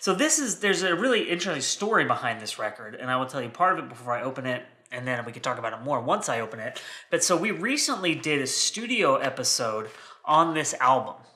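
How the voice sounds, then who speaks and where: A man's fairly high voice at a very fast pace, with very wide pitch swings and noticeable background noise. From United States. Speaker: vinyl collector video host. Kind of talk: casual unboxing chat. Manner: rambling, conversational.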